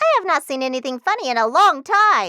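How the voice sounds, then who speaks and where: High-pitched and full of very wide pitch swings, the put-on character voice bounces all over. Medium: read story.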